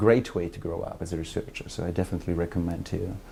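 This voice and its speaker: Very fast and somewhat breathy, a man with an Italian accent speaks in a very deep voice with a dark, mellow tone and fairly even intonation. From Italy. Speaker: academic researcher. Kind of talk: interview testimony.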